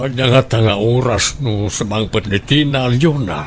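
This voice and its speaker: Behind clear background noise, a man uses a put-on character voice at a medium pitch and a fairly slow pace. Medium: audio drama.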